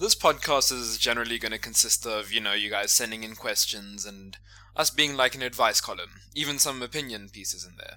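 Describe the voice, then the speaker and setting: A man talks at a fairly quick pace with a South African accent, his loudness swinging widely. The recording is very clean, with a silent background. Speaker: podcast host. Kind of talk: casual comedic banter.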